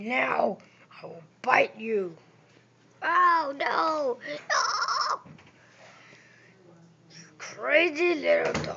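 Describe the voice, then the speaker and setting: A woman uses a put-on character voice at a high pitch and a very slow pace. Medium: voice reel. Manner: grumbling, complaining.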